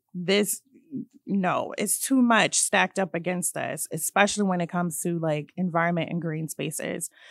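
Speaking at a moderate pace with a Virginia accent, a woman uses a fairly low pitch and fairly even intonation, recorded dry and close with no echo and a silent background. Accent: American English (Virginia). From central Virginia (Hanover County). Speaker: environmental justice organizer. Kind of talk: casual chat. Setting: studio.

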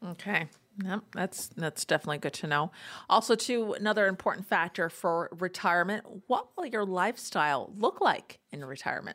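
In a normal speaking voice, a woman talks at a fairly quick pace and medium pitch with ordinary pitch variation, on a very clean recording with a silent background. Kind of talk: infomercial call-to-action pitch.

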